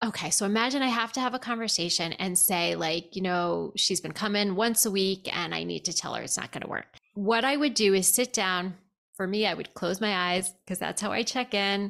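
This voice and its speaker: On a very clean recording with a silent background, a woman speaks at a moderate pace in an unremarkable speaking voice, medium in pitch with ordinary variation. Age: 50s. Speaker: therapist. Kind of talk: casual chat.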